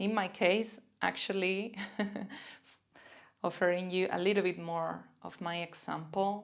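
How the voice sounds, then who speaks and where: Speaking slowly with long, frequent pauses, a woman with a Spanish accent keeps a medium pitch and monotone, flat intonation. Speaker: self-compassion and mindfulness teacher. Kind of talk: guided self-compassion practice. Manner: gentle, warm.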